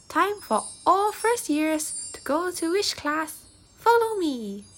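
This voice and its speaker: Going fairly slowly, a woman performs a put-on character voice at an extremely high pitch. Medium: read story. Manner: brisk, commanding.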